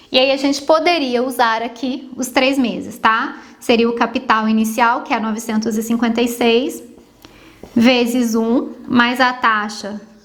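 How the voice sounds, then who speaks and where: Over noticeable background noise and audible room echo, a woman speaks at a fairly slow pace in a high pitch with fairly even intonation. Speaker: math teacher. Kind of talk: tutorial.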